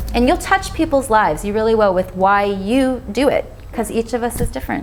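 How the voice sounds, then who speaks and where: A woman's fairly high voice at a fairly quick pace, with ordinary pitch variation and noticeable background noise. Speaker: vegan author and speaker. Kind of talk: Q&A after a talk. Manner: fast.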